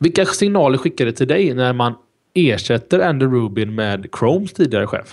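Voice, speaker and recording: Against a quiet background, a man talks at a moderate pace, his pitch swinging very widely. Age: 30s. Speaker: tech podcast host; podcast host. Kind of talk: casual chat. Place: home room. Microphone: studio mic.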